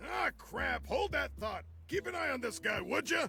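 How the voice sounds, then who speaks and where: Someone shouts in a put-on character voice. Clear background noise runs behind it. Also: man, moderate pace. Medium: game stream. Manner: gruff, wheeling and dealing.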